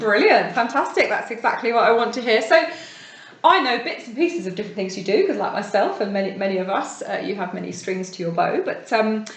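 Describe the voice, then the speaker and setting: A woman with a fairly high pitch talks at a very fast pace with lively intonation over noticeable background noise. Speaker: podcast host. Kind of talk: interviewer.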